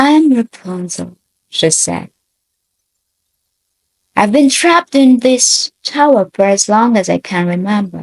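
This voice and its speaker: Speaking at a very slow pace, a somewhat breathy woman lets her pitch swing very widely, recorded with a dry, close sound and no echo. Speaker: actress, storyteller. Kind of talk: audiobook fairy tale reading. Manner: emotional, elegant.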